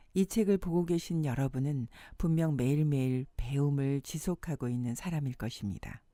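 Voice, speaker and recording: Her voice is very deep and low in pitch for a woman, with a dark, mellow tone. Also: ordinary pitch variation, moderate pace. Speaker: voice actor. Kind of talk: audiobook-style book reading.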